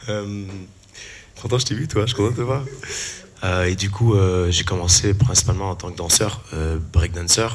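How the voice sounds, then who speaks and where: This man speaks at a moderate pace, his fairly low voice showing ordinary pitch variation. He takes long, frequent pauses. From Canada (Quebec). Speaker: musician and musical theatre performer. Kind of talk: panel discussion self-introduction.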